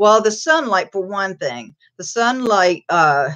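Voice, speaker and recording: A woman's medium-pitched, ordinary speaking voice at a fairly slow pace. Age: 60s. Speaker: crochet live stream host. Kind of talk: casual live chat.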